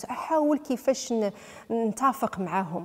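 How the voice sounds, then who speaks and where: A woman's fairly high voice, dark and mellow in tone, with lively intonation against a quiet background. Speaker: footballer's wife; interviewee. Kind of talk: interview. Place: home room. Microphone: handheld.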